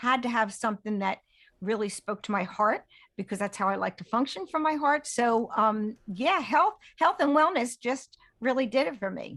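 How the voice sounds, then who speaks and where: In an ordinary speaking voice, a woman talks at a moderate pace with a fairly high pitch and lively intonation. The background is quiet. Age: 60s. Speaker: health and wellness mentor. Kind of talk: interview conversation.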